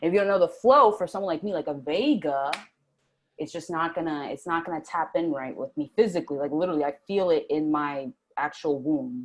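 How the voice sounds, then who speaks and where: Speech comes fairly quickly, and the pitch rises and falls in an ordinary way. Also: woman, fairly low pitch for a woman. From US East Coast, Puerto Rican family. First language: Spanish. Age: 20s. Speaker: interview guest, spiritual starseed. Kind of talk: casual interview chat.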